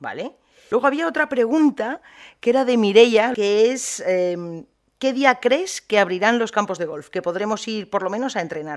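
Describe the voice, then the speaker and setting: A woman with a fairly high pitch speaks in a plain, everyday voice at a moderate pace, with lively intonation and big swings in loudness. The recording is very clean, with a silent background. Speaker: podcast host. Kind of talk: interview.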